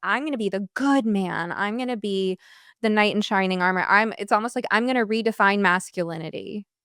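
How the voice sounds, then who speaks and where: A woman's unremarkable speaking voice at medium pitch, moderate pace and fairly even intonation. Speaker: therapist and podcast host. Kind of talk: podcast interview questions.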